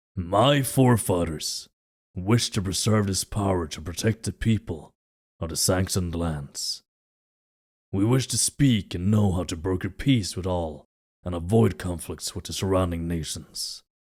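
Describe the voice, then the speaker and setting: On a very clean recording with a silent background, a man uses a put-on character voice, very deep and low, at a moderate pace. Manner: commanding.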